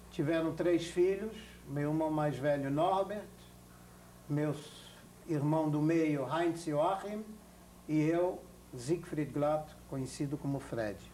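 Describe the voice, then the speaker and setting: A man with a fairly high voice talks at a very slow pace, with long, frequent pauses, ordinary pitch variation, audible room echo and noticeable background noise. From Belgium (Antwerp), born in Berlin. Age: 60s. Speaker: Holocaust survivor. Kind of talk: oral history interview. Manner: formal.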